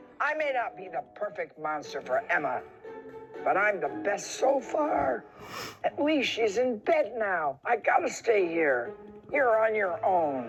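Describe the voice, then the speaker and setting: Over clear music in the background, a man does a put-on character voice that is gruff and growling, high in pitch and delivered at a fairly slow pace. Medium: read story. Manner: growling, gruff.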